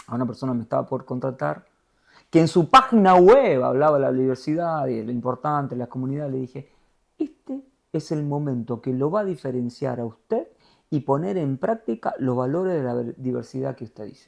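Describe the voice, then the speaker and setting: With an Argentine accent, the speaker talks at a fairly quick pace in an animated tone, showing ordinary pitch variation and big swings in loudness. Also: man, medium pitch for a man. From Argentina. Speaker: TV news anchor. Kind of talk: interview conversation.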